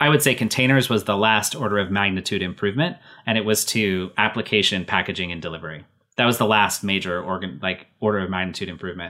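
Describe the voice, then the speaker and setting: A man talks at a very fast pace in a fairly low pitch, his tone bright and sharp, on a very clean recording with a silent background. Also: ordinary pitch variation. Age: 40s. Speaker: tech company CEO and founder. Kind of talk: interview.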